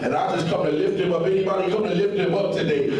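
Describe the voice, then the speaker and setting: A man's voice carries strong room echo. Light background noise is also present. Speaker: preacher. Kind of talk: sermon. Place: hall.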